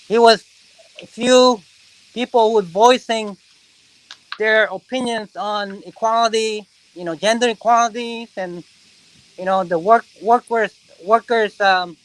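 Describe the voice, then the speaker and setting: A man with a Korean accent speaks at a high pitch and a fairly slow pace, with fairly even intonation and long, frequent pauses. His loudness swings widely, and the sound is dry and close with no echo. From South Korea, moved to US at 13. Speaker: reptile zoo founder. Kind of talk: casual interview, facility tour. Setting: on location at facility.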